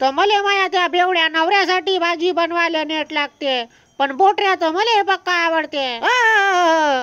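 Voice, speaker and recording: Extremely high pitch in a put-on character voice from a woman. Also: fairly slow pace, ordinary pitch variation. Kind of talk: comic dubbing. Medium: fan dub. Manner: blunt, colloquial, grumbling.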